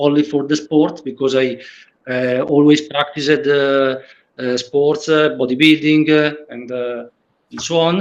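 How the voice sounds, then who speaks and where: Speaking fairly slowly with an Italian accent, a man keeps a flat monotone at a fairly high pitch. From Italy. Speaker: patient with leg length difference. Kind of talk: roundtable discussion. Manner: halting, many fillers.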